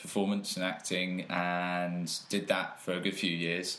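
In a room with audible echo, a man with a very deep, low voice speaks fairly slowly in a flat monotone. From England (Peterborough), partly raised in Australia. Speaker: personal trainer. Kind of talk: casual chat.

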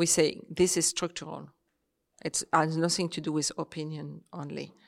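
A woman speaks fairly slowly in a French accent with monotone, flat intonation. The recording is very clean, dry and close, with a silent background and no echo. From Réunion. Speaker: author. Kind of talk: panel talk.

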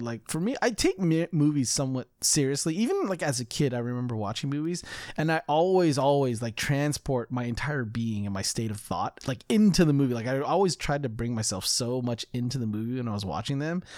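On a very clean recording with a silent background, a man with an American accent talks fairly quickly with hardly any pauses in an unremarkable speaking voice at a fairly high pitch. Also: lively intonation. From California. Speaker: podcast co-host. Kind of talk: casual chat.

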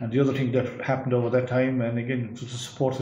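Very fast and flat in a monotone, a man with an Irish accent and medium pitch speaks amid audible room echo and noticeable background noise. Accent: Irish (Clare). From Ireland, West Clare. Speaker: agricultural research scientist. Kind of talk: interview.

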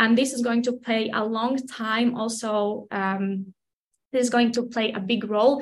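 A somewhat breathy voice with a Latvian accent, fairly even intonation and a fairly slow pace. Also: woman. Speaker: personal trainer. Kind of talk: casual interview.

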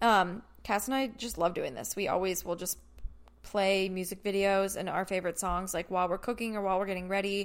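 A woman speaks in a plain, everyday voice at a fairly quick pace with fairly even intonation. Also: medium pitch for a woman, very clean recording, silent background. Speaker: podcast host. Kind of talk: casual chat. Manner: casual, chatty.

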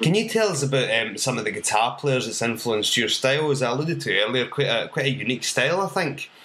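Speaking very fast with hardly any pauses, a man with a Scottish accent uses lively intonation at a medium pitch. Noticeable background noise runs underneath. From Scotland. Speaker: podcast host, drummer and comedy songwriter. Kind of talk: casual interview chat.

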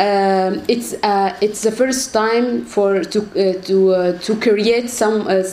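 A woman with an Arabic accent and a fairly high pitch, ordinary pitch variation, audible room echo and noticeable background noise. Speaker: human rights activist. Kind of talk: panel talk. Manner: halting, repeats words.

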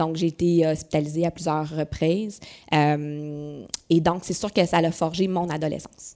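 A woman's fairly low, dark, mellow voice in a Quebec accent, at a fairly slow pace with fairly even intonation. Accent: Québécois French. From Quebec City, Quebec. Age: 40s. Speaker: business owner. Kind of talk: interview conversation.

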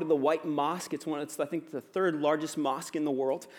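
A man's fairly high voice at a fairly quick pace, fairly even in intonation, on a very clean recording with a silent background. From US, Virginia. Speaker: pastor. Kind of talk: sermon. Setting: church. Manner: casual, filler-heavy with ums and uhs.

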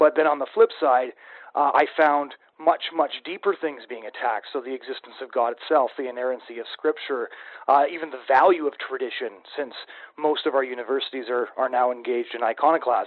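A man with an unremarkable speaking voice and medium pitch talks at a fairly quick pace. His intonation stays fairly even while his loudness swings widely. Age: 20s. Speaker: podcast host. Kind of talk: interview.

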